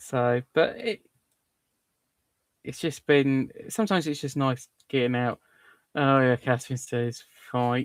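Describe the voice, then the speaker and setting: A man with a southern English accent at a fairly slow pace, long, frequent pauses, and a dry, close sound with no echo. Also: medium pitch for a man, ordinary pitch variation. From southern England. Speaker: livestream host. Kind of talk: casual chat. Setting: live stream.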